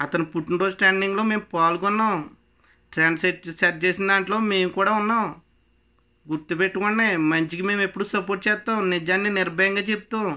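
In a quiet setting, a man projects a raised, bright and sharp voice at very even loudness. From Konaseema, Andhra Pradesh; Andhra Pradesh. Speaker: political party supporter. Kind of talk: angry political rant to camera. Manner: animated. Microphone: phone near.

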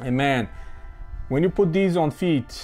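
The speech moves at a fairly quick pace. Faint music plays in the background. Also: man. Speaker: sneaker collector reviewer. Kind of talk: casual product review chat. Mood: enthusiastic, relaxed. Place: home room.

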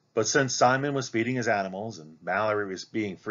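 The voice is heard in plain reading aloud. Its pitch shifts in an ordinary way.

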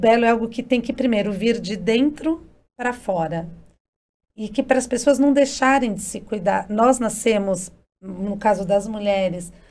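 At a fairly slow pace, a woman talks in an ordinary speaking voice, fairly high in pitch with ordinary pitch variation. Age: 40s. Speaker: journalist and diabetes advocate. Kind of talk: interview.

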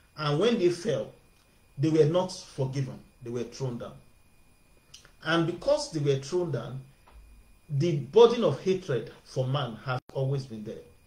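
A man speaks at a fairly slow pace in a dark, mellow, somewhat breathy tone, with long, frequent pauses. His loudness swings widely, and there is audible room echo. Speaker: preacher. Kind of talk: sermon. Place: home room. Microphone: webcam.

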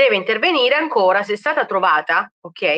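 Over a quiet background, a woman speaks. Her pitch swings very widely. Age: 30s. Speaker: criminologist; criminology guest lecturer. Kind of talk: lecture. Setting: video call. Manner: halting. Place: home room. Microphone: webcam.

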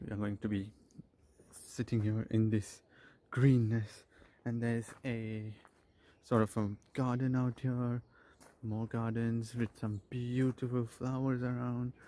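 A man talks fairly slowly in a dark, mellow tone with monotone, flat intonation. Long, frequent pauses break up the dry sound with no echo. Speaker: traveler vlogger. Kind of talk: casual vlog chat. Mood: delighted, impressed. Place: garden. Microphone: phone near.

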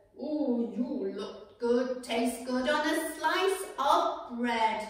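Strong room echo surrounds a woman with a high voice who talks at a very slow pace. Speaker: storyteller. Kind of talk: children's story reading. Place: home room. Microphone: camera far.

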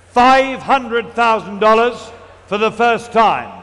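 In a British accent, a man uses a theatrical tone at an extremely high pitch, keeping his intonation fairly even. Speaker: auctioneer. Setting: stage with audience. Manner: brisk, insistent patter, repeating figures and pressing bidders; theatrical and showmanlike, coaxing bidders with teasing asides.

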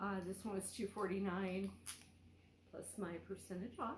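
A woman's voice comes with audible room echo and light background noise. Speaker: thrift reseller vlogger. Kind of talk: casual vlog chat. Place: home room. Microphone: phone near.

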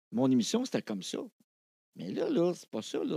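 The man's pitch is fairly high, with very wide swings at a moderate pace. The background is quiet and the sound dry with no echo. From Quebec. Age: 60s. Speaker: television archivist and radio host; radio host. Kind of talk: casual interview chat. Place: studio. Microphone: studio mic.

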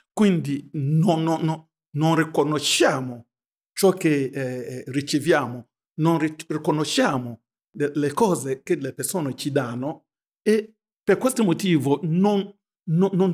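A man speaks very slowly with lively intonation, leaving long, frequent pauses. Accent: non-native. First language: not Italian (speaking Italian). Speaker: pastor. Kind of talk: group Bible study discussion.

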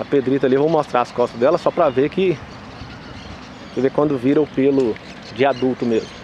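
Light background noise sits under a dry sound with no echo. A man speaks at a fairly quick pace. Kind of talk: casual explanatory vlog chat. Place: garden. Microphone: phone near.

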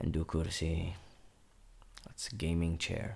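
At a fairly slow pace, a man talks in a very deep, low pitch that is somewhat breathy. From North Africa. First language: Algerian Arabic. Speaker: YouTuber. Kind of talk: casual chat. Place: home room.

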